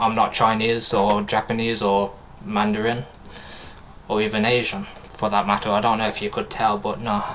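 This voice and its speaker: A man with a British accent, fairly low in pitch, at a moderate pace. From UK. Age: 20s. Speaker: gaming streamer. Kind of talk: casual live-stream chat. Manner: animated.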